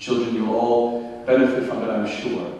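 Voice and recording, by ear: A man talks at a moderate pace and medium pitch, with little pitch movement. His tone is dark and mellow, and there is strong room echo.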